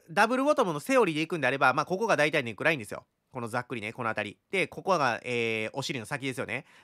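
Against a quiet background, the speaker goes at a very fast pace in a bright, sharp tone with very wide pitch swings. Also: man. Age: 30s. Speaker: crypto chart analyst YouTuber. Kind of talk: market analysis tutorial. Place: home room. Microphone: studio mic.

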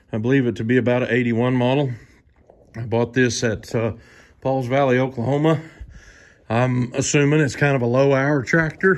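A man's fairly even intonation holds as he speaks at a moderate pace. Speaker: farmer showing his tractors. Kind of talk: casual vlog tour commentary. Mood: relaxed, folksy. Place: garage. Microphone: phone near.

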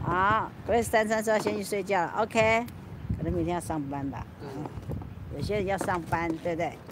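A woman speaks at a moderate pace in a fairly low voice, the sound dry with no echo and noticeable noise behind her. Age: old. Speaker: YouTuber livestreaming. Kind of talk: casual livestream chat. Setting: outdoors on a rooftop at night. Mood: relaxed, chatty, late night.

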